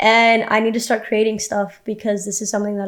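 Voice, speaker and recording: On a very clean recording with a silent background, a woman talks at a very fast pace in a monotone, flat way. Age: 20s. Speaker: vlogger. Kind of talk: personal vlog monologue. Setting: home, own room. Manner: stutter; casual, hesitant.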